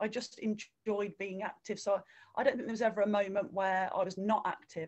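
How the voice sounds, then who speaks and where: Medium-pitched woman's voice with a West Midlands accent, fairly even intonation, and a fairly quick pace. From English Midlands (Redditch, near Birmingham). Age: 40s. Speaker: runner and swimming instructor. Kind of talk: interview.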